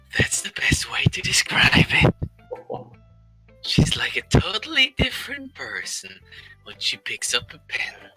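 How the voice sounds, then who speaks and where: Using a put-on character voice, a man talks at a moderate pace with long, frequent pauses as faint music plays behind him. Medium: fan dub. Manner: confident, teasing.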